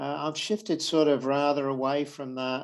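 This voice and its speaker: A man speaks with a British accent. His pitch is medium. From Britain. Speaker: accounting professor. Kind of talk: lecture. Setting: video call. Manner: halting.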